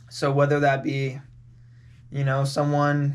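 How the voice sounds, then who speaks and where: At a fairly slow pace, a man talks in a fairly high voice. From California. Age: 20s. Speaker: podcast guest. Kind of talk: casual chat. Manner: casual, filler-heavy.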